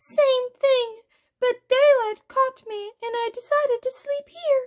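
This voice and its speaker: A squeaky, put-on character voice speaks at an extremely high pitch. It moves at a fairly slow pace. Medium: read story. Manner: casual, knowing.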